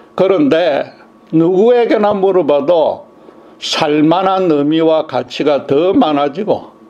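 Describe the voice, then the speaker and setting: Someone speaks at a very slow pace, with audible room echo and noticeable background noise. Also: man. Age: 70s. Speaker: pastor. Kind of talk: sermon.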